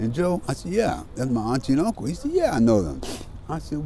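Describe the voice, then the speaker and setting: Noticeable background noise accompanies a man who talks at a moderate pace in an American accent. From US Pacific Northwest (Seattle). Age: 60s. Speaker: formerly homeless man sharing life story. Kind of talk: interview.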